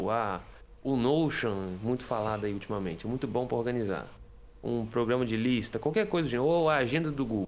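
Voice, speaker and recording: Pitch swings very widely as the speech moves along at a moderate pace. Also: man. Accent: Brazilian. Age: 20s. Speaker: guitarist and music teacher; music teacher. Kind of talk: casual interview explaining a productivity method. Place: home room.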